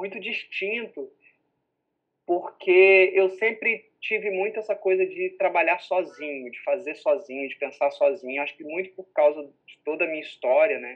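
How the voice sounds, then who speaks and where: A man speaks at a moderate pace in a high pitch. His intonation is lively and his loudness swings widely. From Minas Gerais, Brazil, moved often. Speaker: theatre director and book publisher. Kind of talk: casual chat.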